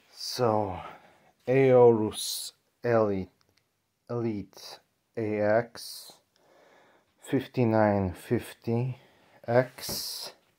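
With a dark, mellow tone, a man talks at a very slow pace and fairly even intonation. Long, frequent pauses break his speech over a quiet background. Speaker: PC builder. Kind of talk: casual talk to camera. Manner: hesitant, many fillers. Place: home room. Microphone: phone near.

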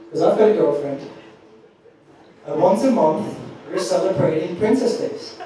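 Lively intonation marks this man's high-pitched voice as he talks at a moderate pace with long, frequent pauses, strong room echo and light background noise. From Austria. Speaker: stand-up comedian. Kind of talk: live stand-up comedy set. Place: stage.

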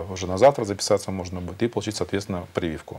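Talking at a very fast pace, a man keeps fairly even intonation in a dark, mellow, fairly low voice. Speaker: hospital chief doctor. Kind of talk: expert answers in a live TV discussion. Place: studio. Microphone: lapel.

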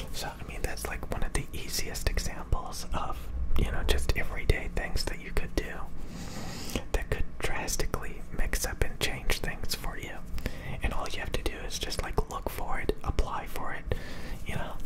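Male speech at a moderate pace, loud noise behind it. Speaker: ASMR creator. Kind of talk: soft-spoken motivational chat. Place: home room. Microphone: studio mic.

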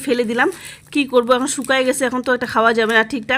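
Over noticeable background noise, a woman speaks with a high pitch and fairly even intonation. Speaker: home vlogger. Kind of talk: voice-over vlog narration. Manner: halting, stumbling over words; casual.

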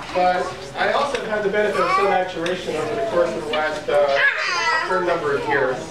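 Delivered at a fairly quick pace with hardly any pauses, the speech has audible room echo and loud background noise. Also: man. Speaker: rabbi and father of the baby. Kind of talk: religious speech at a family ceremony. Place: hall. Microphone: camera far.

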